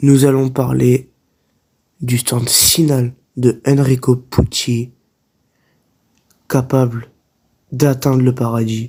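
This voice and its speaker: The voice has a dark, mellow tone and is somewhat breathy, with monotone, flat intonation. It moves at a very slow pace with long, frequent pauses. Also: man, medium pitch for a man. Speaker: anime commentary YouTuber. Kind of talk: casual talk to camera. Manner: unscripted, hesitant.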